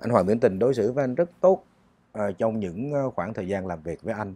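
A man's lively intonation, dry sound with no echo. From Vietnam. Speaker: singer; interview guest. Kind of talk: interview. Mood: calm, reflective storytelling. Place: studio. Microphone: lapel.

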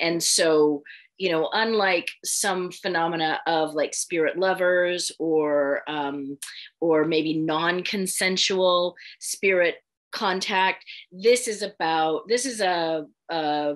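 In an American accent, a woman speaks at a very slow pace in a fairly low pitch with ordinary pitch variation against a quiet background. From US West Coast, San Francisco Bay Area; US West Coast. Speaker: spiritual author and counselor; podcast guest. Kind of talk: interview. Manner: frequent hesitations (um). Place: home room. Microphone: video call.

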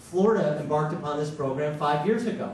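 Amid light background noise and audible room echo, a man talks at a fairly quick pace with lively intonation. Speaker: candidate. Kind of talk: forum speech. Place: hall.

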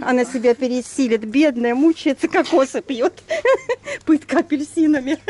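A woman with a high pitch and ordinary pitch variation at a moderate pace, with long, frequent pauses and a dry sound with no echo. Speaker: travel vlogger. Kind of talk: casual chat. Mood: cheerful, joking. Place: street. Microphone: phone near.

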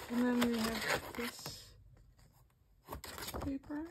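Over noticeable background noise, a woman speaks at a high pitch with a Dutch accent. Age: 20s. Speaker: unboxing vlogger. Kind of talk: casual unboxing commentary. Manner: halting. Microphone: phone near.

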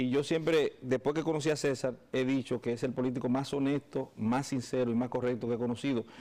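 A man speaks at a medium pitch and a moderate pace with ordinary pitch variation, in an unremarkable speaking voice. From Dominican Republic. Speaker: lawyer. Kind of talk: interview. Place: studio. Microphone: lapel.

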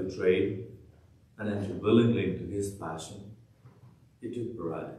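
Amid audible room echo, a man speaks at a fairly slow pace with a fairly low pitch and fairly even intonation. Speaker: priest celebrating Mass. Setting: church, livestreamed Mass. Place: church.

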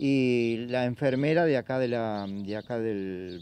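A man's dark, mellow voice with ordinary pitch variation, dry and free of echo. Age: 60s. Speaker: blood donor. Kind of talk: interview. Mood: warm, sincere. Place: street. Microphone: handheld.

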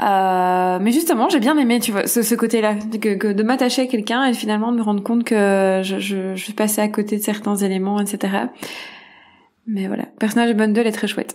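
A woman speaks at a moderate pace in a fairly high voice. Her intonation is fairly even, but her loudness swings a lot. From Belgium. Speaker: screenwriter. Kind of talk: casual discussion. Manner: halting, many hesitations.

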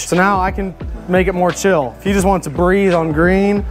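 A man speaks at a moderate pace with monotone, flat intonation. Clear music plays in the background. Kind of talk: product walkthrough. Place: garage.

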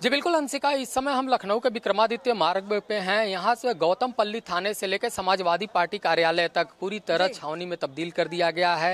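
Speech at a moderate pace has hardly any pauses and a dry sound with no echo. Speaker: field news reporter. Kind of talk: live news report to anchor. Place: street. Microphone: handheld.

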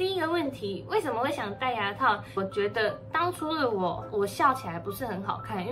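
Music is clearly heard in the background. A woman talks over it at a medium speed. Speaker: vlogger. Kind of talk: casual vlog chat, Q&A. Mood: cheerful, chatty. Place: home room. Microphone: phone near.

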